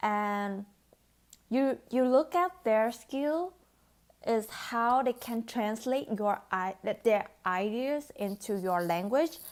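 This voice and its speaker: A woman with a Vietnamese accent, fairly high in pitch, at a very slow pace on a very clean recording with a silent background. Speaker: beauty vlogger. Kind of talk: vlog talk to camera. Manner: hesitant, with fillers.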